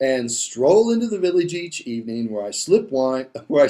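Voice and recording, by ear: The clip has a person reading aloud in a natural voice.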